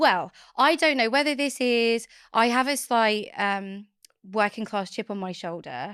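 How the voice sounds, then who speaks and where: On a very clean recording with a silent background, a woman with an Essex accent speaks at a fairly slow pace with lively intonation. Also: fairly high pitch for a woman. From Essex, England. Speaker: author and company founder. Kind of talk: podcast interview.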